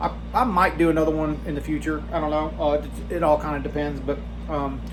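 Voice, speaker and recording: The man keeps a moderate tempo, and room echo can be heard around him. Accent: Southern US. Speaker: knife collector and modder. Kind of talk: casual vlog talk. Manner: mumbling; halting, many fillers.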